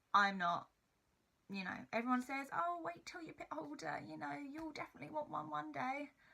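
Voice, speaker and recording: A woman talks at a fairly quick pace in a bright, sharp tone, her medium pitch making very wide swings while her loudness varies a lot. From Essex, England. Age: 20s. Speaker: YouTuber. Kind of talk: casual vlog chat.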